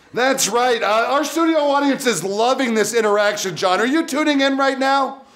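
A man speaks at a moderate pace with extremely high pitch, lively intonation and a fairly bright tone, with audible room echo.

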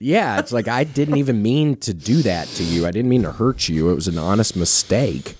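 A man with a dark, mellow tone talks at a moderate pace using lively intonation. The sound is dry with no echo, and there is light background noise. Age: 30s. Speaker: comedian and comedy podcast host; comedian, comedy podcast host. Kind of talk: casual chat. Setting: studio. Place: studio. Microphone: studio mic.

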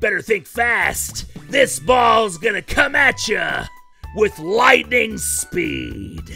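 A raspy, put-on character voice moves at a very slow pace over clear music in the background. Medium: dub. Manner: cocky, playful.

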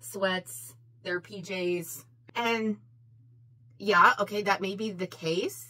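The woman talks at a very slow pace. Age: 40s. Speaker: beauty YouTuber. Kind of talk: casual vlog monologue while doing makeup. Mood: opinionated, a bit heated. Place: home room.

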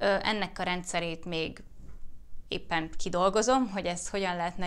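A woman at a fairly quick pace, with ordinary pitch variation. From Hungary. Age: 30s. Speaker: YouTuber and fertility awareness educator; YouTuber, fertility awareness educator. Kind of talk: casual Q&A vlog.

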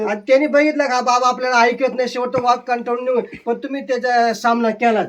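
A man with an extremely high voice speaks in a monotone, flat way over noticeable background noise. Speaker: vlogger. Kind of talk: interview questions.

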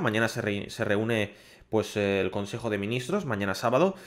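A man speaks with a Castilian accent against a quiet background. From Spain. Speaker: gaming YouTuber. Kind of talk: public service message to viewers. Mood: serious, concerned. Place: home room. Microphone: studio mic.

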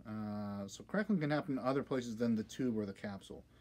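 A man's voice has a dark, mellow tone. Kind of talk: tutorial. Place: workshop. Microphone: phone near.

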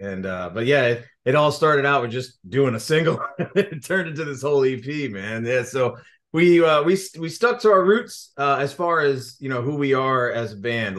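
Against a quiet background, a man speaks at a moderate pace with lively intonation. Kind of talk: interview answer. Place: home room. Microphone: webcam.

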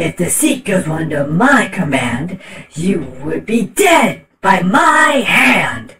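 Using a raspy, put-on character voice at a middle pitch, the speaker goes at a very slow pace with very wide pitch swings. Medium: voice reel. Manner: angry, sneering.

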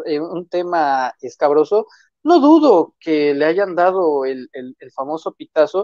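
Dry with no echo, a man's voice sits high in pitch with a dark, mellow tone. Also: quiet background. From Mexico, Tamaulipas. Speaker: political commentator and author; political commentator. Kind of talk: political commentary chat. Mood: critical, skeptical. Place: home room. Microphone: earbuds.

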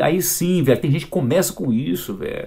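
A man speaks at a fairly quick pace with vocal fry. His pitch is fairly high and swings very widely. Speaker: fitness youtuber. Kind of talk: video reaction commentary. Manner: animated; loud.

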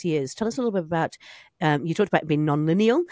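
A woman with a New Zealand accent speaks at a fairly low pitch in a dry sound with no echo against a quiet background. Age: 50s. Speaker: podcast host. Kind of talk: casual interview. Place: studio. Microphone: studio mic.

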